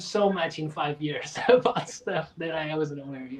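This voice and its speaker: Amid noticeable background noise, a man with a Portuguese accent speaks at a fairly slow pace with ordinary pitch variation. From Portugal. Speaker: drummer and percussionist. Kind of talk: interview.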